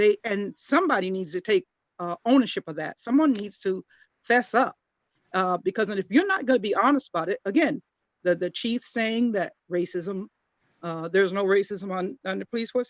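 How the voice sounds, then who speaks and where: A woman talks at a moderate pace and medium pitch, her intonation lively. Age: 60s. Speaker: community panelist. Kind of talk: panel discussion. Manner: halting, many repeated words.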